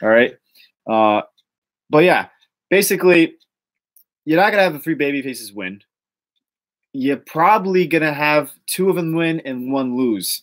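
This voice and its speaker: A man with a Boston accent, fairly high in pitch, at a moderate pace with lively intonation and long, frequent pauses. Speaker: wrestling rumor show host. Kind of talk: casual podcast chat. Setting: live stream. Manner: animated.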